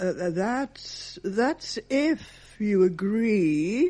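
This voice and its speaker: A woman's fairly high, somewhat breathy voice with a dark, mellow tone moves through very wide pitch swings. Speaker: volunteer reader. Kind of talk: literary reading aloud of Christmas poems and monologue. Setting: talking newspaper recording. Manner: expressive, storytelling, changes tone for each character.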